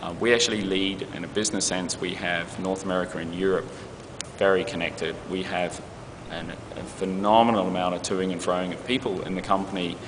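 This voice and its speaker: A man with a New Zealand accent, very deep and low in pitch with monotone, flat intonation, amid noticeable background noise and audible room echo. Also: fairly quick pace. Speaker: advertising creative executive. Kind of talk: interview. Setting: festival interview.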